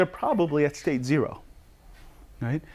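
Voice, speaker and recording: The man speaks with lively intonation. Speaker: psychotherapist and educator. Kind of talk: lecture. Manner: fast.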